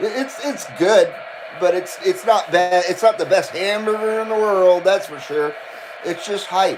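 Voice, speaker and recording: Over noticeable background noise, a man speaks fairly slowly in an animated tone, his pitch swinging very widely. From Southern California (Thousand Oaks, Burbank). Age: 50s. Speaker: live streamer, CB radio hobbyist. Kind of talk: casual chat. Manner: casual, animated.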